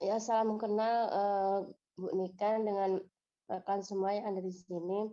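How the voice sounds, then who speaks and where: A woman speaks at a fairly slow pace in a medium pitch. Her tone is dark and mellow, and her intonation is monotone and flat. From Indonesia, northern South Sumatra. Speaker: teacher, community coordinator. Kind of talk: introductory greeting.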